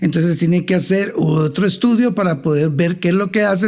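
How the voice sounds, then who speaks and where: A man talks at a moderate pace with a high pitch and lively intonation. There is noticeable background noise. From Honduras, Tegucigalpa. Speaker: finance expert. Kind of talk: interview.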